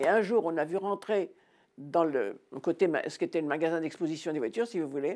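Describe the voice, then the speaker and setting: This woman's voice sits fairly low and has a dark, mellow tone. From France, Normandy. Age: 80s+. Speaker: war witness. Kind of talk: testimony. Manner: halting.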